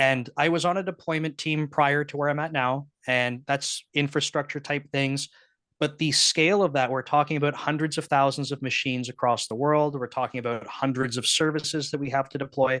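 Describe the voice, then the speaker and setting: A man with a slight Canadian accent and a fairly high pitch, bright, sharp tone and fairly even intonation, at a fairly quick pace with hardly any pauses, in a dry, close sound with no echo against a quiet background. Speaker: software engineering manager. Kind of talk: casual talk at online meetup. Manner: casual, many filler words.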